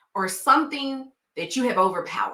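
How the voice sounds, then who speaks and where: Speaking at a fairly slow pace, a woman with a Southern US accent has a bright, sharp tone and lively intonation. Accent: Southern twang. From Tennessee, US South. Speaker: nurse and coach for healthcare professionals. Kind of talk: vlog advice talk. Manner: conversational, uses fillers like um.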